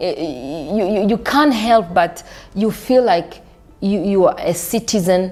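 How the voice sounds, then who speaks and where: A woman in a South African accent at a very slow pace, medium in pitch with lively intonation. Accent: South African-sounding. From Burundi, then South Africa from 16. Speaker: diaspora member sharing life story. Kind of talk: interview. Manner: halting, repeats words.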